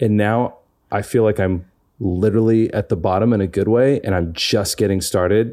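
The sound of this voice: On a very clean recording with a silent background, a man speaks at a moderate pace with a fairly low pitch, a slightly mellow tone and fairly even intonation.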